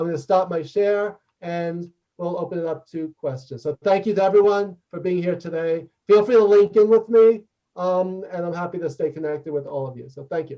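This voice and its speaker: A man talks at a fairly quick pace with a New York accent. His voice is high, with a dark, mellow tone. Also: ordinary pitch variation, big swings in loudness. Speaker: leadership consultant and author. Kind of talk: interactive workshop talk and Q&A. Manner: fast; loud.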